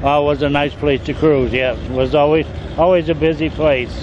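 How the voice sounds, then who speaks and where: A man talks at a moderate pace in a dry recording with no echo, though noticeable background noise can be heard. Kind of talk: interview answer. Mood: nostalgic, relaxed. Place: street. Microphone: handheld.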